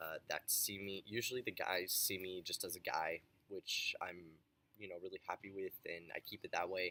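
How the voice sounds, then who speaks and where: The sound is dry and close, with no echo. A man speaks at a moderate pace. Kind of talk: testimony. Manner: casual, hesitant with fillers.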